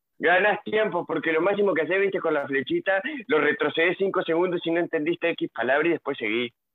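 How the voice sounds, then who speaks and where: Talking at a very fast pace, a man with high pitch keeps his loudness very even and his pitch variation ordinary. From Nueva Palmira, Colonia, Uruguay. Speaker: university student. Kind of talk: casual chat.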